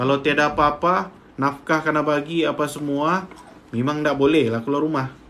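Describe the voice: This man has a fairly high pitch. He talks at a moderate pace with fairly even intonation.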